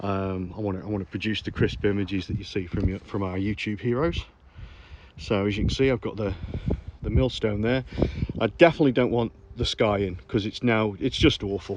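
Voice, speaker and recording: In a Staffordshire accent, a man speaks fairly quickly, his fairly low voice showing ordinary pitch variation. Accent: Stoke-on-Trent (Potteries). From Stoke-on-Trent, England. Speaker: landscape photographer. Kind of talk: casual talk to camera. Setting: outdoors.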